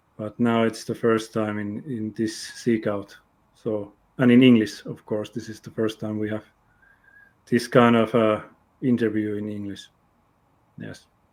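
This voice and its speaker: A man with a Finnish accent speaks at a fairly slow pace in a fairly low pitch, his intonation flat and monotone, his loudness swinging widely, and his pauses long and frequent. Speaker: interview show host. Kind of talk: interview. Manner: halting.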